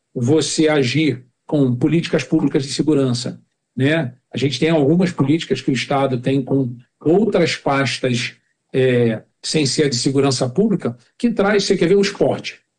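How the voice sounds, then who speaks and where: Somewhat breathy, a man talks at a fairly slow pace with lively intonation. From Rio de Janeiro, Brazil (Jacarepaguá). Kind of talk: podcast interview.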